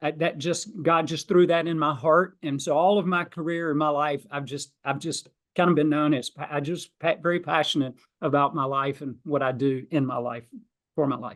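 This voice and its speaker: A man with a Southern US accent speaks at a moderate pace. His pitch is fairly high and his intonation fairly even. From US South, South Georgia. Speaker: financial planner and author. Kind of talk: podcast interview. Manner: loud, passionate.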